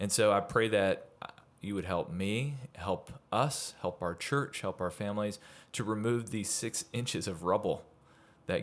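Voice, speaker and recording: A man speaks in an ordinary speaking voice at a fairly slow pace, his pitch fairly low, on a very clean recording with a silent background. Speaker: podcast host. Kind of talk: podcast interview. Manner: warm, upbeat.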